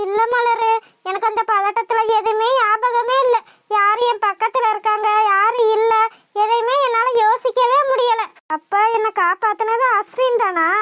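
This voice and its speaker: Using a cartoonish character voice, the speaker goes at a fairly slow pace with fairly even intonation and very even loudness. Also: woman, extremely high pitch for a woman. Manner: earnest, emotional.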